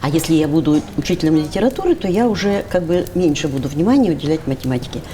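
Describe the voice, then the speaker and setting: A woman's animated, very fast delivery in a fairly low pitch with lively intonation, against noticeable background noise. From Russian Far East, Primorye (Dalnegorsk). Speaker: university lecturer in philology. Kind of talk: casual interview chat. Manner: animated, artistic.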